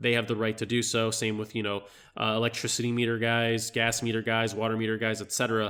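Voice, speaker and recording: The voice has a bright, sharp tone and races along at a very fast pace. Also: man. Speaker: realtor. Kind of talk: tutorial. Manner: casual, hesitant with fillers.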